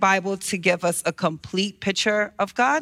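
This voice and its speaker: A woman speaks in a bright, sharp tone. The recording is very clean, with a silent background. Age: 30s. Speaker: church member reading audience questions. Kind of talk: reading aloud. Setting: church.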